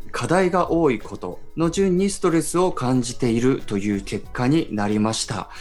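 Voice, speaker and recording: A man's medium-pitched voice with very wide pitch swings, a moderate pace and hardly any pauses, with music in the background. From Iwate, Japan. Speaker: radio host and photojournalist. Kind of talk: radio talk show.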